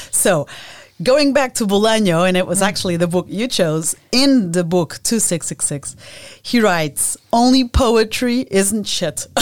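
At a fairly slow pace, a woman with a Portuguese accent speaks in a medium pitch with lively intonation. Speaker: podcast host. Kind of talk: interview conversation.

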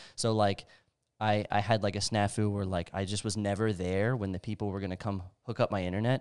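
A man at a fairly quick pace with monotone, flat intonation, in a very clean recording with a silent background. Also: fairly low pitch for a man. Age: 30s. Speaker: warehouse worker, podcast guest. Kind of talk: casual chat.

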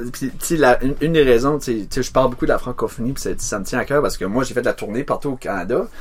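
A man with an Acadian accent speaks at a very fast pace and a medium pitch. His pitch variation is ordinary, and there is audible room echo. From New Brunswick, Acadia. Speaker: singer-songwriter. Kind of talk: casual chat. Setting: home studio in a garage.

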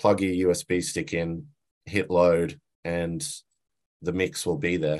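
Against a quiet background, a man with an Australian accent talks in a very deep, low voice with ordinary pitch variation. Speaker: sound engineer. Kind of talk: interview. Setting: video call. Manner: halting, many fillers.

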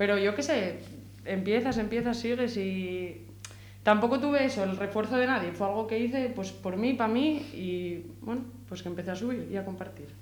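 A woman speaks at a medium pitch, and audible room echo follows her voice. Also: ordinary pitch variation, moderate pace. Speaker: rapper. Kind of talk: casual interview. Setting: radio studio.

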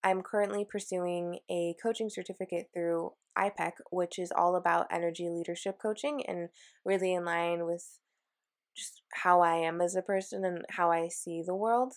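In an American accent, a woman with an unremarkable speaking voice talks at a moderate pace and a fairly low pitch with fairly even intonation, on a very clean recording with a silent background. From Washington State, US. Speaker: podcast host, career and mindfulness coach. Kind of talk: solo podcast monologue.

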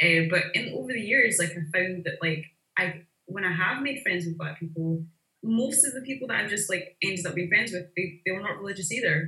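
A woman with a Glaswegian accent talks at a fairly quick pace with lively intonation. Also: medium pitch for a woman. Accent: Glaswegian Scottish. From Glasgow, Scotland. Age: 30s. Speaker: visual artist. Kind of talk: casual interview conversation.

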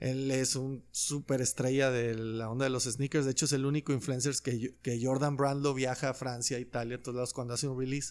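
A man's flat, monotone voice at a fairly quick pace. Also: medium pitch for a man. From Mexico, Loreto, Zacatecas. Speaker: musician and sneaker collector. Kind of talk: casual chat.

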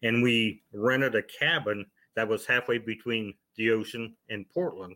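This man speaks with an American accent and an unremarkable speaking voice. His pitch is fairly low, with ordinary variation. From Ohio. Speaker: author and paranormal investigator. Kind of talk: interview storytelling.

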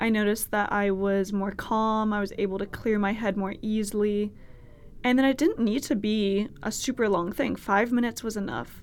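In a Californian accent, a woman talks at a moderate pace with a fairly high pitch. Her intonation is fairly even, and the recording is very clean with a silent background. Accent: Californian American. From US West Coast, Berkeley, California (Bay Area). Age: 20s. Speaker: podcast host, college student. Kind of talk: casual solo monologue. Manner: casual, chatty with fillers.

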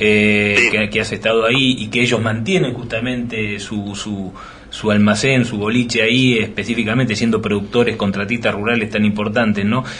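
A man's fairly low voice in a monotone, flat delivery at a moderate pace, with audible room echo and noticeable background noise. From Argentina, Greater Buenos Aires. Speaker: radio host. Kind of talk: radio interview. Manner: halting, many repetitions.

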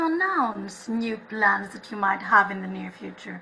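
Amid noticeable background noise, a woman speaks at a moderate pace in a raised, projected voice. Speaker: podcast host. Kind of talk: casual interview chat.

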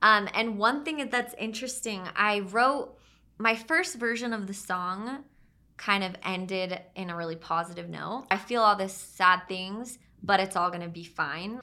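A woman with a normal speaking voice and an American accent, medium pitch, ordinary pitch variation, big swings in loudness and a fairly slow pace. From Utah (Draper). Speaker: singer-songwriter. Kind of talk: casual interview chat.

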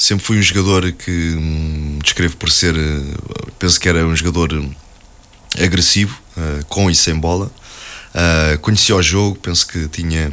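A man's very deep, low voice, fairly slow, with long, frequent pauses, fairly even intonation and a bright, sharp tone. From Portugal, Alverca (Lisbon area). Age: 40s. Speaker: football coach, former player. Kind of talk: radio interview. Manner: hesitant, many fillers and repetitions.

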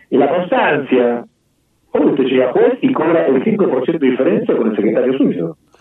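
A man talks in a normal speaking voice, fairly high in pitch. His intonation is lively. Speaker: family court judge. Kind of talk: radio interview.

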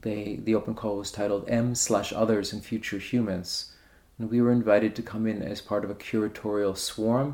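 In a New York accent, a man speaks at a fairly low pitch with a dark, mellow tone and monotone, flat intonation. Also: moderate pace. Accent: New York American English. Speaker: art curator. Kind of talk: radio interview.

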